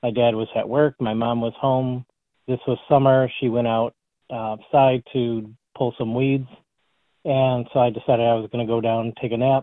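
With an American accent, a man speaks at a moderate pace, his medium pitch held in a flat, monotone delivery. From Detroit area, Michigan. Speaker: alien abduction researcher and author. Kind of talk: interview about personal experiences.

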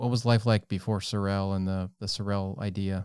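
On a very clean recording with a silent background, a man with a plain, everyday voice speaks at a fairly low pitch, a fairly slow pace and with fairly even intonation. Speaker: podcast host. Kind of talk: casual interview.

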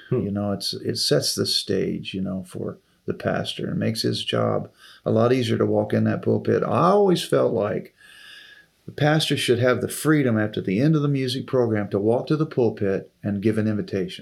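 Speaking at a moderate pace is a man. The background is silent and the recording very clean. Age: 60s. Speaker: retired music minister. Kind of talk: casual interview.

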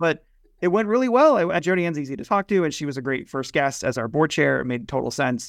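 The speech runs at a very fast pace against a quiet background. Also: man, fairly high pitch for a man, lively intonation. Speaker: podcast co-host and association executive director. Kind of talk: casual conversational podcast chat. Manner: radio-trained, conversational, joking.

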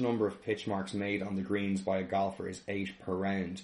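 With an unremarkable speaking voice, a man talks at a fairly quick pace in a fairly low pitch, his intonation fairly even. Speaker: podcast co-host. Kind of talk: casual podcast chat.

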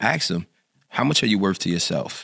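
A man's very deep, low voice with an American accent, bright and sharp in tone, with ordinary pitch variation. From North Philadelphia. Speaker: pastor and community activist. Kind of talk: casual interview.

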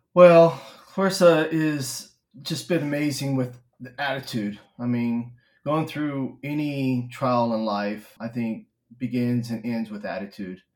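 Speaking with a Texan accent, a man delivers his words at a fairly slow pace in a medium pitch, with ordinary pitch variation and big swings in loudness. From Texas, Stephenville. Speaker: spouse of a patient. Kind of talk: interview conversation.

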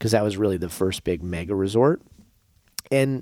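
In a plain, everyday voice, a man with an American accent speaks at a fairly quick pace with lively intonation. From Las Vegas, Nevada. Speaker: property developer. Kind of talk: casual interview.

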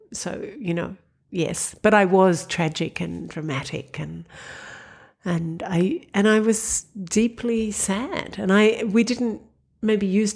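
Over a silent background in a very clean recording, a woman with an Australian accent speaks in a somewhat breathy, medium-pitched voice with ordinary pitch variation. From Australia, Sydney. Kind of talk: casual interview conversation.

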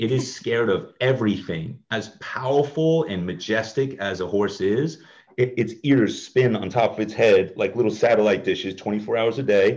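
A man at a moderate pace with ordinary pitch variation and hardly any pauses. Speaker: ministry leader, inner healing minister. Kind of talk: interview conversation, personal testimony.

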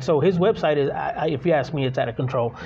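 Ordinary pitch variation in a man's voice, noticeable background noise behind him. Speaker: podcast co-host. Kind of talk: casual interview chat. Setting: on location in a shop.

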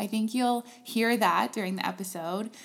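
A woman speaks at a fairly high pitch and a moderate pace. Hers is a plain, everyday voice. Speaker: podcast host. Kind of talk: scripted intro.

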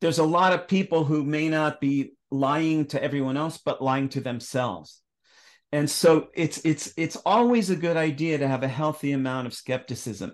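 In a normal speaking voice, a man talks at a moderate pace with a fairly high pitch and ordinary pitch variation, the background quiet. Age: 60s. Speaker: astrologer and author. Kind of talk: casual interview conversation.

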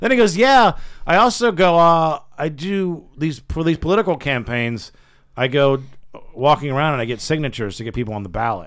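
A man talks at a fairly quick pace with a fairly high pitch and very wide pitch swings, captured on a very clean recording with a silent background. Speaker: radio show host. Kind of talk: casual banter, comedy radio show. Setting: studio.

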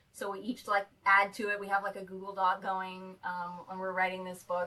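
A woman talks at a fairly quick pace in a plain, everyday voice, her pitch medium. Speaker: cosplayer.

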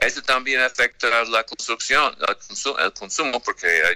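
Here a man speaks with an American accent in a bright, sharp tone. The sound is dry and close, with no echo. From United States. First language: English (speaking Spanish). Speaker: credit rating analyst. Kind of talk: radio interview. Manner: halting, many fillers.

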